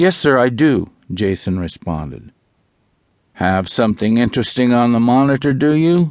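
Here a man talks at a medium pitch and a moderate pace. The background is quiet. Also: lively intonation. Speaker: audiobook narrator. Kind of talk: audiobook narration of a sci-fi thriller. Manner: dramatic, suspenseful, measured storytelling pace.

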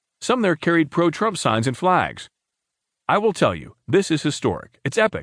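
A man's voice with vocal fry and very wide pitch swings, fairly quick, in a dry, close recording with no echo. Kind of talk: scripted news narration. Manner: formal, even-paced, newsreader delivery; neutral tone, only slight shifts when reading quoted speech.

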